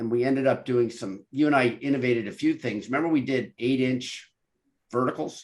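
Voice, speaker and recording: A man with a normal speaking voice at medium pitch, fairly quick in pace, with fairly even intonation. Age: 60s. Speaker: podcast host, engineer. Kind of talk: interview conversation.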